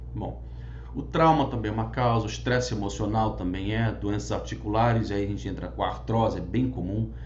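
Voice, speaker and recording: A man talks fairly quickly in a very deep, low voice with very wide pitch swings. Audible room echo surrounds the speech. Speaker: physician teaching a class. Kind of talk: lecture. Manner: fast.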